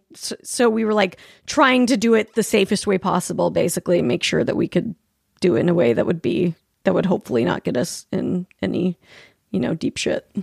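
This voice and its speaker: At a fairly quick pace, a woman with a medium pitch uses very wide pitch swings, in a dry, close sound with no echo. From Utah, Salt Lake City. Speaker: podcast host. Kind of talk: casual chat.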